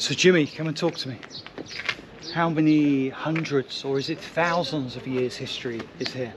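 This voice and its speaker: Noticeable background noise behind a fairly high male voice, moderately paced and ordinary in pitch variation. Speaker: travel photojournalist and presenter. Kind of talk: travel documentary narration and interview. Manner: hushed, keeping quiet.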